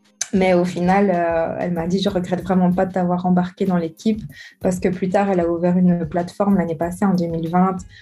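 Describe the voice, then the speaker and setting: Fairly low in pitch and somewhat breathy, a woman delivers her words in a monotone, flat intonation at a fairly quick pace. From Belgium, Charleroi. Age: 20s. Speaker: writer. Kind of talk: interview.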